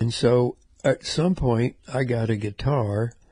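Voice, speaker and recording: A somewhat breathy, dark, mellow voice with an American accent, over a quiet background. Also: man. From US South, Memphis, Tennessee. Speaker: musician and podcast host. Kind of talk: casual storytelling monologue.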